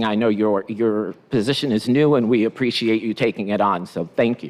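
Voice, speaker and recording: A man talks in a normal speaking voice at a moderate pace, with medium pitch and fairly even intonation. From immigrant, came to US at nine. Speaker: school superintendent. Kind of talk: formal remarks at school board meeting.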